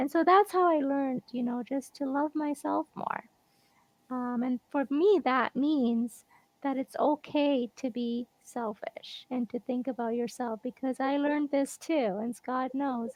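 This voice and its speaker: Soft-spoken and fairly slow, a woman talks in a high pitch. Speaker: guest on a live show. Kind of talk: casual interview chat.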